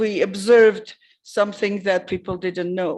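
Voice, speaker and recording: A woman speaks in an ordinary speaking voice. The background is quiet. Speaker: conference presenter. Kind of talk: conference talk with Q&A.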